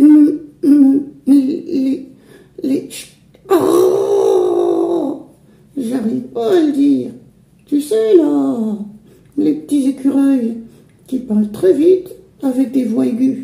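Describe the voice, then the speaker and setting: In a cartoonish character voice, a man speaks at a very slow pace with an extremely high pitch. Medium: puppet. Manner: upbeat.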